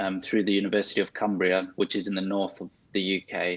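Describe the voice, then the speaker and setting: Fairly low in pitch, a man speaks with a South African accent. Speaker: consultant physiotherapist. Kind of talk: interview.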